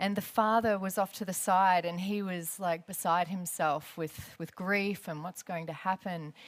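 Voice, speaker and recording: With an Australian accent, a woman speaks at medium pitch and a moderate pace, hardly pausing, her intonation fairly even on a very clean recording with a silent background. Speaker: aerospace engineer and former air force pilot. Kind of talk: lecture. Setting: stage with audience. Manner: loud.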